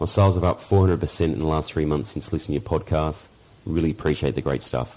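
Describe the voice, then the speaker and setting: A man with a very deep, low voice, vocal fry and a dark, mellow tone, speaking in an Australian accent. He talks very fast with ordinary pitch variation. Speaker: listener, online seller. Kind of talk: recorded voicemail question.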